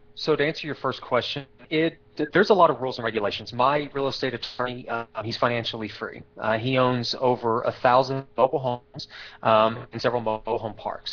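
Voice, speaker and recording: Talking at a very fast pace, a man speaks with an American accent. His medium-pitched voice keeps a fairly even intonation. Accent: slight Texas accent, disputed. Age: 30s. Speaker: real estate investor. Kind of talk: interview. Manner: hesitant, many fillers.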